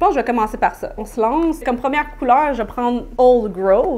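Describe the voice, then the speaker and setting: A high-pitched woman's voice in a Quebec accent. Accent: Québécois French. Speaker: beauty YouTuber. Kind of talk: makeup tutorial and product review. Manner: animated.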